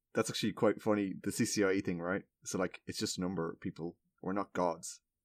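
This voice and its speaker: In a very clean recording with a silent background and a dry, close sound with no echo, a man with an Irish accent talks very fast in a fairly low, monotone, flat voice. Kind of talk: casual chat.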